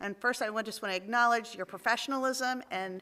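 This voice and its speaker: In an American accent, a woman speaks very fast with a bright, sharp tone and ordinary pitch variation. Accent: shore. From Maryland Eastern Shore. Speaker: city council member. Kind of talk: council meeting discussion.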